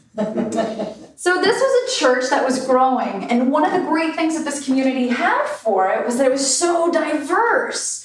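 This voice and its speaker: A woman's high-pitched voice at a fairly slow pace, with very wide pitch swings, hardly any pauses and noticeable background noise. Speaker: minister giving a sermon. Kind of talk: church sermon.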